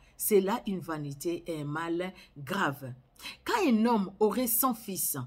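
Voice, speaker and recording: A woman's very slow, somewhat breathy delivery in a Congolese accent, medium in pitch with lively intonation. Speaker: Bible reader. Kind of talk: sermon; reading aloud. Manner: halting.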